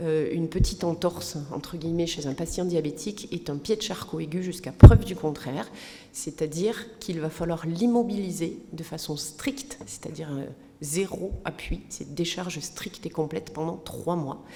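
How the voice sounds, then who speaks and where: With a fairly low pitch and ordinary pitch variation, a woman talks at a moderate pace with big swings in loudness, audible room echo and noticeable background noise. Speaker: physician. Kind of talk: lecture.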